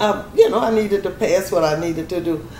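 A woman speaks with an American accent at a medium pitch and a moderate pace. Noticeable background noise is present. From US South, Louisiana (East Baton Rouge Parish). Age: 70s. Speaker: retiree recounting family land history. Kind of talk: interview, personal storytelling.

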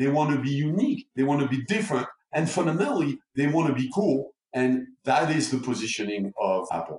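Speaking at a fairly quick pace, a man with fairly high pitch uses lively intonation, very even loudness and a somewhat breathy sound. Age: 60s. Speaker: neuromarketing expert. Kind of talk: interview.

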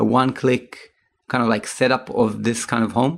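At a moderate pace, a man speaks in a plain, everyday voice at a medium pitch. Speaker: podcast host. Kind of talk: casual interview.

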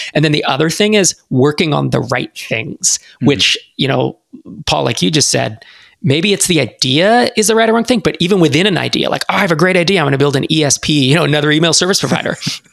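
Talking very fast, a man with a fairly high pitch shows lively intonation and vocal fry. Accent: American. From US West Coast (San Francisco Bay Area). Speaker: startup investor and accelerator founder. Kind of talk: podcast interview.

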